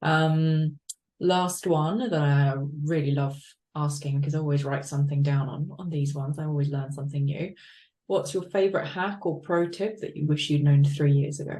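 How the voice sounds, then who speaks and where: A woman speaks with an English accent at a moderate pace, her pitch very deep and low. Her tone is dark and mellow, somewhat breathy, with fairly even intonation. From UK, from age eight. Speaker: interview host. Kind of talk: interview.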